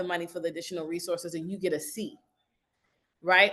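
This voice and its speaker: A woman's bright, sharp voice moves at a fairly quick pace against a quiet background. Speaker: DEI professional, former recruiter. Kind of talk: interview answer.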